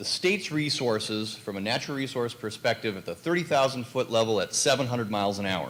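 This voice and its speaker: This man has a medium pitch and lively intonation. He talks at a fairly quick pace. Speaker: university professor. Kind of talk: panel presentation. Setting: conference panel. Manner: fast.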